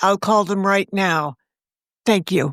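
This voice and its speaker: A woman uses a raspy, put-on character voice at a medium pitch, with a dry, close sound with no echo. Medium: read story. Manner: calm, decisive.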